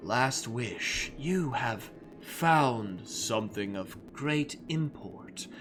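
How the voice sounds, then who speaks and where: Clear background noise sits behind a man doing a put-on character voice at a medium pitch and a very slow pace. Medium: actual play.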